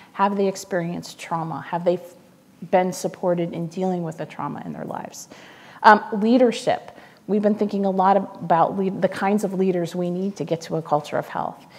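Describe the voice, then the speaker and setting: Her intonation fairly even, a woman with an American accent speaks at a moderate pace. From US Midwest. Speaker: foundation communications officer; guest. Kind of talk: public talk. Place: stage. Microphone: lapel.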